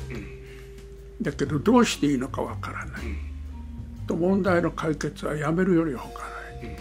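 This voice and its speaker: Music plays behind a man who speaks at a medium rate. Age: 80s+. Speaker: pastor. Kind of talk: interview answer.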